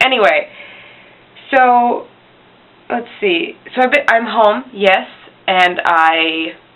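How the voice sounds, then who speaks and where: With long, frequent pauses, a woman talks at a very slow pace in a fairly high pitch. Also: lively intonation. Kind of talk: casual talk to camera. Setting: poor home recording. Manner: rambling.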